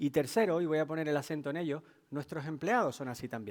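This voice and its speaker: On a very clean recording with a silent background, a man with a Canarian accent talks at a very fast pace in a fairly high pitch with ordinary pitch variation. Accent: Canarian Spanish, noticeable. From Canary Islands, Tenerife. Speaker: technology executive, keynote speaker. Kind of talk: business keynote talk. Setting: stage with audience.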